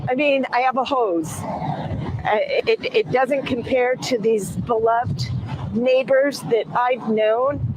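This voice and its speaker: Over noticeable background noise, the speaker talks at a very slow pace with an American accent. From US West, Pasadena area, California. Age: 60s. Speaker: local resident. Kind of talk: news interview. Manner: halting.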